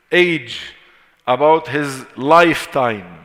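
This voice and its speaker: Very slow speech in an Arabic accent, with ordinary pitch variation. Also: man. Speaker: Islamic teacher. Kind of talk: lecture. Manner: repetitive, deliberate.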